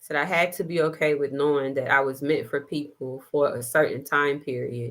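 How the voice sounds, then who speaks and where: A woman with a very deep, low voice and fairly even intonation at a moderate pace, recorded very cleanly with a silent background. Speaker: spiritual live streamer. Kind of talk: spiritual message on livestream. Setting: livestream. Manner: loud, yelling.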